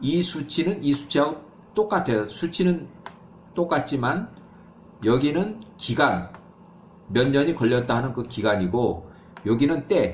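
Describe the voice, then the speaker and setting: With vocal fry and very wide pitch swings, a man speaks at a fairly slow pace. Long, frequent pauses break up his speech, and room echo is audible. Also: fairly high pitch for a man. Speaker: bible teacher. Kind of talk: lecture. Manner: halting, self-correcting.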